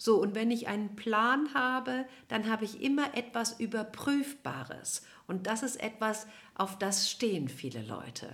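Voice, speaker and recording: A woman with a plain, everyday voice, fairly high pitch, lively intonation and a fairly slow pace. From Cologne, western Germany. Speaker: nutrition scientist and family therapist. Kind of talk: interview.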